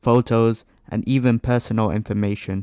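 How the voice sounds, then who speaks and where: The man's voice sits at a medium pitch. He talks at a moderate pace with monotone, flat intonation. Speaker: gaming youtuber reading online stories. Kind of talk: reading aloud; casual chat.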